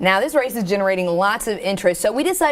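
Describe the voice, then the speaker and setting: Against noticeable background noise, a woman speaks at medium pitch in an American accent. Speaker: television news anchor. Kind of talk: TV news anchor delivery.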